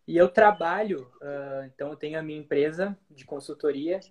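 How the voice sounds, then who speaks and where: A man's fairly high voice at a moderate pace. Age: 20s. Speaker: marketing strategist. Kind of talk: casual interview chat. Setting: Instagram live recording.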